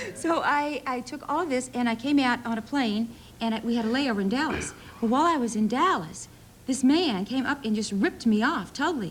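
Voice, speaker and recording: Over noticeable background noise, a woman with an American accent speaks at a fairly quick pace with a high pitch and lively intonation. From US South, Middle Tennessee near Nashville. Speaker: soap opera actress. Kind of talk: talk show interview. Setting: TV studio with audience.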